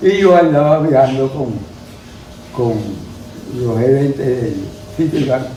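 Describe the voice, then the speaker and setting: Speaking at a fairly slow pace with long, frequent pauses, a man uses medium pitch and ordinary pitch variation. Noticeable background noise sits behind him. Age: 80s+. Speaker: cattle rancher and businessman. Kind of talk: interview answer.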